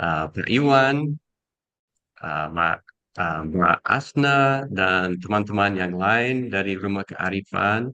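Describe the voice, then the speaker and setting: In a non-native accent, a man with a fairly low pitch and a bright, sharp tone speaks at a very slow pace with lively intonation, the sound dry and close with no echo. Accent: foreign accent in Indonesian. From USA. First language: English (speaking Indonesian). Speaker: educator and speaker. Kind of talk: talk. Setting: video call. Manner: halting.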